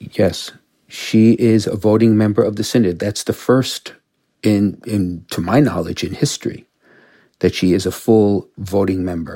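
A man with an American accent and a fairly low pitch, in a dark, mellow tone, at a fairly slow pace with fairly even intonation, in a very clean recording with a silent background. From Brooklyn, New York. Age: 60s. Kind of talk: interview.

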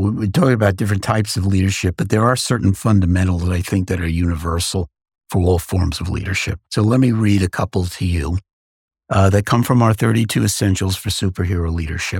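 On a very clean recording with a silent background and a dry, close sound with no echo, a man with an American accent speaks very fast in a very deep, low, somewhat breathy voice with ordinary pitch variation. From New York City, Queens. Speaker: podcast host, former CEO. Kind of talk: interview; reading listener mail aloud.

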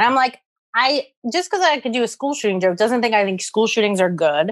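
A woman with a New York accent talks at a fairly quick pace. Her fairly high voice has lively intonation. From US Northeast, the Bronx, New York. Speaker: stand-up comedian. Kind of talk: casual chat.

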